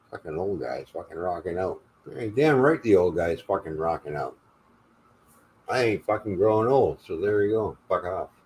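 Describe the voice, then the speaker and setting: Lively intonation from a man with a fairly low pitch, somewhat breathy, at a moderate pace. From Canada (Ontario). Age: 60s. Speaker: live stream host. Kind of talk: casual chat. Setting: live stream.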